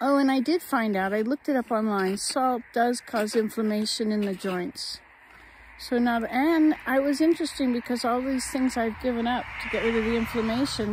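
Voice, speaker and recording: A woman talks at a moderate pace with ordinary pitch variation, her dry, echo-free sound set against noticeable background noise. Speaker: vlogger. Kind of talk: casual vlog chat. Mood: calm, reflective. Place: garden. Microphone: phone near.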